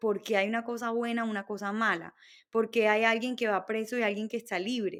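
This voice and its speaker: A woman speaks with a Barranquilla accent at a fairly high pitch. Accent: Barranquilla Colombian. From Colombia, Barranquilla (Caribbean coast). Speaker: entrepreneur. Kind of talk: interview.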